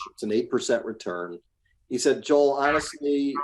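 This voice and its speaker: A man's plain, everyday voice with ordinary pitch variation at a moderate pace, in a very clean recording with a silent background. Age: 60s. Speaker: real estate investor. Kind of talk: podcast interview.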